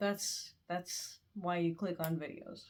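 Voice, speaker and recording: In an unremarkable speaking voice, a woman talks at a fairly low pitch with ordinary pitch variation. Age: 20s. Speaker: student. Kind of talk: casual talk to camera.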